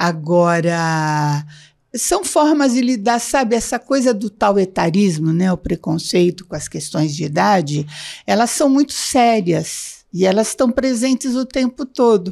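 The voice has a dark, mellow tone with very wide pitch swings at a fairly slow pace. It is a very clean recording with a silent background. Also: woman. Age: 70s. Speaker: psychologist and blogger. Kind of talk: casual interview.

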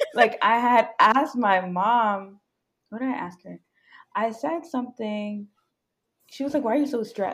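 Over a very clean recording with a silent background, a woman with an American accent and fairly high pitch talks at a fairly slow pace, with long, frequent pauses, ordinary pitch variation and big swings in loudness. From New York, Jamaican family. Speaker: software engineer. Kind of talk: casual chat.

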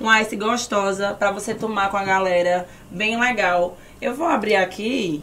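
Using a put-on? No—A woman talks in an animated tone at a medium pitch, with ordinary pitch variation and a fairly slow pace. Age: young. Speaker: podcast host and influencer. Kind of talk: sponsor read; casual chat. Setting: studio.

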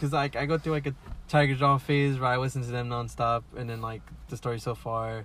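Speaking in an American accent, a man uses an unremarkable speaking voice at medium pitch, a fairly quick pace and fairly even intonation. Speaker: podcast co-host. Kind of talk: casual chat. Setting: in a car.

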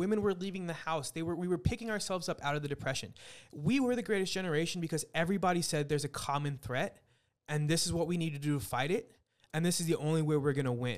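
In a very clean recording with a silent background, a man with an American accent speaks at a very fast pace, high in pitch with ordinary pitch variation. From Texas, San Antonio. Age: 30s. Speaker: restaurant professional. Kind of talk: casual chat.

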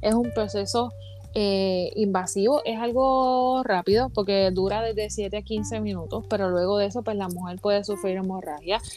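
A woman speaks with a Puerto Rican accent. Her pace is moderate. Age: 30s. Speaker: podcast guest. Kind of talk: casual chat.

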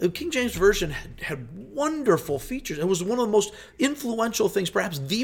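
An animated man at a moderate pace, with very wide pitch swings. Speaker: pastor. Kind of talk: casual chat.

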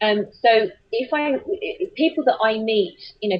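A woman with an English accent sounds somewhat breathy. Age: 40s. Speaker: children's author and voiceover artist. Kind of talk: interview. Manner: halting, many fillers and repeats.

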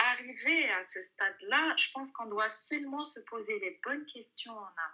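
Projecting her raised voice at a high pitch, a woman talks at a fairly slow pace with hardly any pauses and big swings in loudness. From Algeria. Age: 30s. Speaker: working mother. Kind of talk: interview. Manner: hesitant.

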